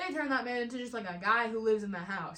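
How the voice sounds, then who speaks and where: A woman's animated voice with ordinary pitch variation, in audible room echo. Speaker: video creator ranking fandoms. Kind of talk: casual vlog monologue. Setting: at home alone. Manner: loud.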